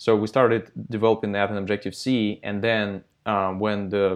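The speaker has a Russian accent and talks at a moderate pace with fairly even intonation. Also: man. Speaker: software company founder. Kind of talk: interview. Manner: hesitant, many fillers.

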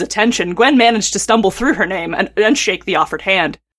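Speaking at a very fast pace, a woman with an American accent has a fairly high pitch. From US North. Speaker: fiction writer. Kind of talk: casual chat; reading aloud. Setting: remote recording.

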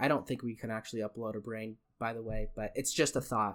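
A man with a Western US accent on a very clean recording with a silent background. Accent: American (Western US). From Utah and China. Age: young. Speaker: podcast host, university student. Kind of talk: casual solo monologue. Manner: halting, with frequent fillers and word slips; unscripted, off the cuff.

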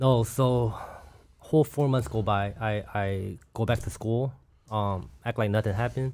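A man with a plain, everyday voice, at a fairly slow pace and with ordinary pitch variation. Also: medium pitch for a man. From Los Angeles and Orange County, California (born in South Korea, came as toddler). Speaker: former prisoner facing deportation. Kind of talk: interview testimony.

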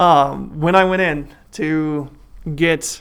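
The recording of a man with an American accent is very clean, with a silent background. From Iowa, US Midwest. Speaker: financial planner and mayor. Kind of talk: interview.

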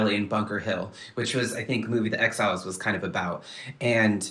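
Noticeable background noise accompanies a man with an American accent talking at a fairly quick pace. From Southern California, Kumeyaay reservation. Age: 30s. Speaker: poet and TV writer. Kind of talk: casual chat.

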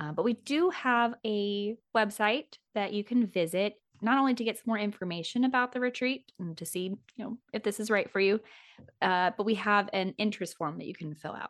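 Heard dry and close with no echo against a quiet background, a woman talks with an American accent at a medium pitch. Her tone is animated, her pitch varies in an ordinary way and her pace is moderate. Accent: slight rural US accent when relaxed. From US Midwest, Kansas City. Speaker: sex coach and podcast host. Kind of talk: casual conversation. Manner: animated, laughs often.

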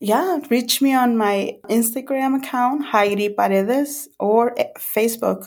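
With a Spanish accent, a woman speaks in a high pitch at a fairly slow pace, with ordinary pitch variation, very even loudness and hardly any pauses, in a very clean recording over a silent background. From El Salvador. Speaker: ministry volunteer. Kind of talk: testimony.

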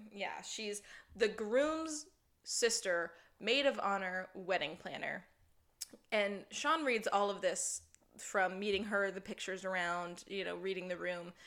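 A woman of medium pitch uses a normal speaking voice. She talks at a fairly slow pace with ordinary pitch variation. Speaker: podcast host. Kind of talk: casual chat.

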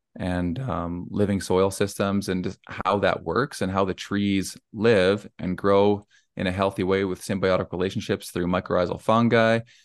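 A man with a western Canadian accent speaks at a moderate pace in a fairly low pitch, his intonation fairly even against a quiet background. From Alberta, Canada. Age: 40s. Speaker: arborist, tree service owner. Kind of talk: casual interview.

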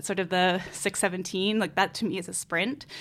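A woman talks in an ordinary speaking voice at medium pitch. Her intonation stays fairly even. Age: 30s. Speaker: newspaper editor and documentary producer. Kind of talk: interview. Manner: casual, many filler words.

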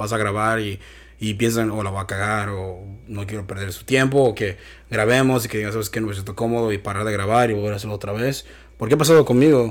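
A man at medium pitch with a Mexican accent, a fairly quick pace and fairly even intonation. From Michoacán, Mexico. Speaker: podcast host. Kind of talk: casual chat.

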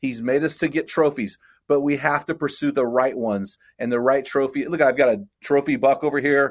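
In a very clean recording with a silent background, a man with an unremarkable speaking voice talks at a moderate pace, his pitch fairly high and its variation ordinary. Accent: American. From California central coast. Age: 50s. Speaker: men's ministry leader and author. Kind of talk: casual interview.

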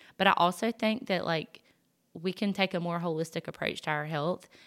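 Against a very clean recording with a silent background, a woman with a Southern US accent speaks at a fairly low pitch with fairly even intonation. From US South. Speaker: podcast host. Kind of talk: personal testimony monologue. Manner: casual, many fillers.

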